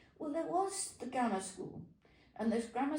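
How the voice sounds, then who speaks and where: A woman speaks with a British accent. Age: 80s+. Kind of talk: interview answer, reminiscing.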